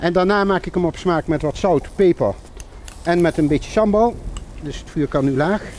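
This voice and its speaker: A man's high voice with ordinary pitch variation, at a moderate pace, dry with no echo, over light background noise. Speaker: cooking show host. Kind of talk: cooking demonstration. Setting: outdoors under a bridge. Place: waterside.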